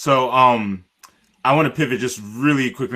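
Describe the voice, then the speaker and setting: A man with an American accent has a bright, sharp tone. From US (raised by Nigerian parents). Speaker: panelist on travel webinar. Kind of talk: panel discussion. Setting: live-streamed webinar.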